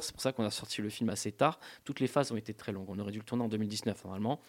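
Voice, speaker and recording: This man has a fairly low pitch and talks at a very fast pace. The recording is very clean and the background silent. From Corsica, grew up in a village. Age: 30s. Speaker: film director. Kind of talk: radio interview. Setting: radio studio. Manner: halting, repetitive.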